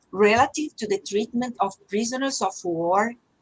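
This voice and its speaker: A woman with a fairly high pitch talks at a moderate pace, her pitch varying in an ordinary way. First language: Portuguese. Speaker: judge. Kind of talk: panel discussion. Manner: halting.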